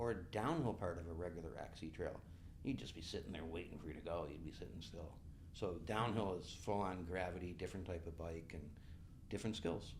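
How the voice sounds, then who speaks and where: A man speaks at a fairly quick pace with a very deep, low pitch and a somewhat breathy voice. Audible echo fills the room. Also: ordinary pitch variation. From western New York (Buffalo). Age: 60s. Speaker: bike race director and event coordinator. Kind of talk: podcast interview.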